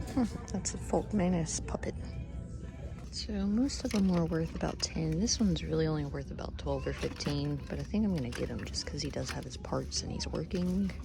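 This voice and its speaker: A soft-spoken woman talks at a fairly quick pace. Music plays in the background, and audible room echo can be heard. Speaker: thrift reseller vlogger. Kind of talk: casual vlog narration. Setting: in a thrift store. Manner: quiet, soft-spoken.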